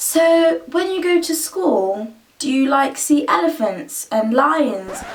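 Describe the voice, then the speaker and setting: Noticeable background noise sits behind a woman with a British accent speaking at a very slow pace. Her high voice swings very widely in pitch. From Kenya until age seven, then UK. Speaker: YouTuber. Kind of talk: casual vlog tag video.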